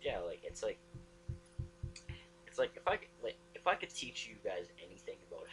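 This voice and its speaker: Noticeable background noise sits behind this man. He speaks at a moderate pace. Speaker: vlogger. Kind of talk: casual vlog monologue. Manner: halting, frequent restarts and fillers.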